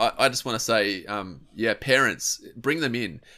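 On a very clean recording with a silent background, a man with an Australian accent speaks at a fairly slow pace and medium pitch. His tone is bright and sharp, with lively intonation. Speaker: podcast host and youth ministry advisor. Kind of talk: casual chat.

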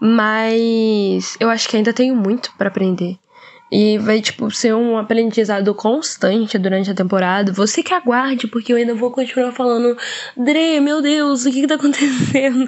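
Against noticeable background noise, a woman talks at a moderate pace with a fairly high pitch and ordinary pitch variation. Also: very even loudness. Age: young. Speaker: co-host, veterinary student. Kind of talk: casual chat.

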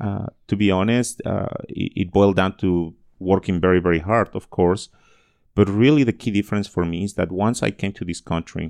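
A very deep, low male voice in a Spanish accent, fairly even in intonation, dry and close with no echo, on a very clean recording with a silent background. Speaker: education advocate and speaker. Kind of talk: interview.

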